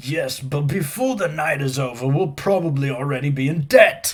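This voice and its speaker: Someone in a put-on character voice speaks at a moderate pace with ordinary pitch variation. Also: man, fairly high pitch for a man. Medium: read story.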